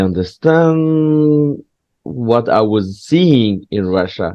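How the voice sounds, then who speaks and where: A man speaks with a French accent. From southwest France. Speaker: stand-up comedian. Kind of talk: casual chat. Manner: halting.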